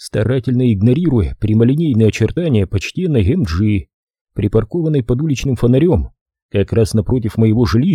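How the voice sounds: The intonation is lively in this natural reading voice, heard against a quiet background.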